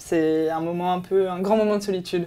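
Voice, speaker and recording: A woman's fairly low, monotone voice with flat intonation at a moderate pace. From France, with Colombian family. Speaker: travel magazine presenter. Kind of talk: promotional interview. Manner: hesitant, many fillers.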